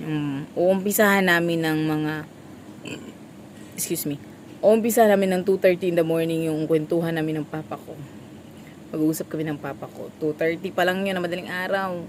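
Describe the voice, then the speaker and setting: A woman's fairly low voice, fairly quick yet broken by long, frequent pauses, fairly even intonation, noticeable background noise. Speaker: vlogger, small store vendor. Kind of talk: casual vlog chat.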